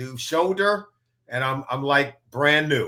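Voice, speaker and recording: Lively intonation, a bright, sharp tone and a fairly slow pace. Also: man. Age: 60s. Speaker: football analyst, former NFL player. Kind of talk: casual interview.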